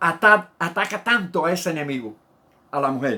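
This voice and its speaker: The recording is very clean and the background silent. A man's intonation is lively throughout. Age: 70s. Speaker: pastor. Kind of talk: sermon.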